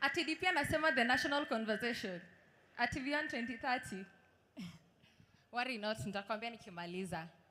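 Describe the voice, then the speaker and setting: Lively in intonation and fairly high in pitch, a woman talks at a very fast pace. She takes long, frequent pauses, and room echo is audible. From Kenya, Kuria in Migori County. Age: 20s. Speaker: law graduate. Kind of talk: speech. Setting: stage with audience.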